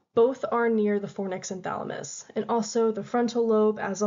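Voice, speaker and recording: Behind speech with fairly even intonation, noticeable background noise can be heard. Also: woman. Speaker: student presenter. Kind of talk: class presentation. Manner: fast; halting.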